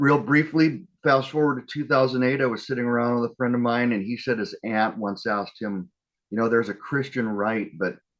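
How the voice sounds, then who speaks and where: Here is a man with an ordinary speaking voice, pitched in the medium range with ordinary pitch variation. He talks at a moderate pace against a quiet background. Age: 60s. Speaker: activist. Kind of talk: speech. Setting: live online gathering.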